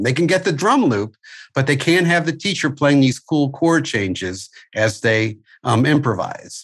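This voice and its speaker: Over a quiet background, a man with a fairly high pitch and vocal fry speaks at a moderate pace, his pitch swinging very widely. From US Midwest (St. Louis, Missouri). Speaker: music school owner and curriculum developer. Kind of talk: interview. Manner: halting, many fillers.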